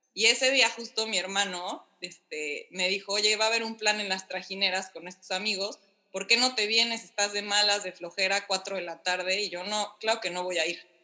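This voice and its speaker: A woman with an unremarkable speaking voice at medium pitch, fairly even intonation, a moderate pace and hardly any pauses. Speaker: podcast guest, wife in intercultural couple. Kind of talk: casual chat.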